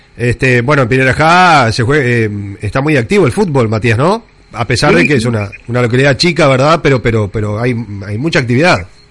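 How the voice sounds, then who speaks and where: With a Uruguayan accent, a man talks at a fairly quick pace, medium in pitch and lively in intonation. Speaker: radio host. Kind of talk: radio interview.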